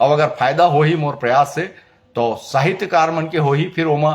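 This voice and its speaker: Pitched fairly high, a man speaks with a somewhat breathy voice. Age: 60s. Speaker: filmmaker and cultural activist. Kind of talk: opinion monologue. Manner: halting, with many fillers.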